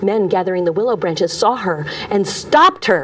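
A woman speaks in an animated, dramatic tone. Noticeable background noise is audible. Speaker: storyteller. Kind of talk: storytelling performance, retelling a Greek myth. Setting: live audience. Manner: unhurried, narrative pacing with voiced character lines. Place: studio.

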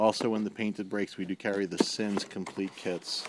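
Noticeable background noise sits under this recording. A man talks at a moderate pace with a fairly low pitch. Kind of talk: casual product walkthrough. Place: shop. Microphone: phone near.

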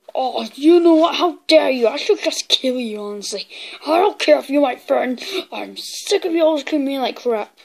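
A woman uses a put-on character voice with a high pitch. Her intonation is lively and her pace moderate. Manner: angry, shouting, boastful.

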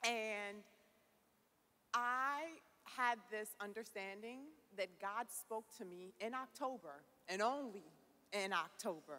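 At a slow pace, a woman speaks at medium pitch with a bright, sharp tone and ordinary pitch variation.

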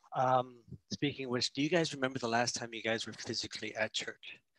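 The tone is bright and sharp, and the intonation is fairly even. Delivery is fairly quick, in a dry sound with no echo. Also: man. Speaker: church service host. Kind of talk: worship welcome address. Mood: warm, friendly. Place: home room. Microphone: headset.

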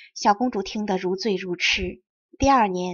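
Ordinary pitch variation and a moderate pace from a female speaker. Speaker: Chinese teacher and audiobook narrator. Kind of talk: reading aloud. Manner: clear, precise enunciation.

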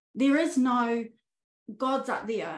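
Audible room echo surrounds a woman speaking at a fairly slow pace. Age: 40s. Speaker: spiritual life coach. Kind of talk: interview conversation. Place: home room. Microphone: video call.

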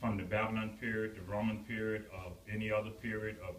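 Fairly low in pitch, a man talks at a very fast pace. Audible room echo and light background noise are present. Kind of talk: informal talk to an audience. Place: hall. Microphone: phone near.

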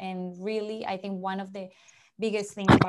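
Her pitch barely moves. The woman's tone is slightly mellow.

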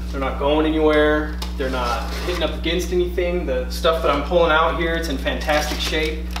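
A man is speaking. Audible room echo and noticeable background noise surround him. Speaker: comic shop owner or staff. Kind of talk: casual product unboxing video. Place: shop. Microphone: camera far.

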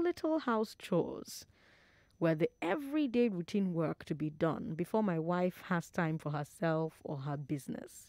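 With a Nigerian accent, a woman speaks in a fairly low pitch using lively intonation. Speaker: radio talk show host. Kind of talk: radio call-in show. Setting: studio. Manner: animated.

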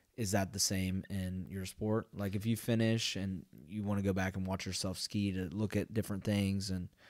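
On a very clean recording with a silent background, a man with an American accent uses a plain, everyday voice, fairly low in pitch, with fairly even intonation at a moderate pace. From Ohio. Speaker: doctoral student. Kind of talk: casual chat.

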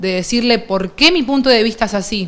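Fairly high in pitch, a woman speaks in a plain, everyday voice. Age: 30s. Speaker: streamer, interviewer. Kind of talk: interview, casual chat. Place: studio.

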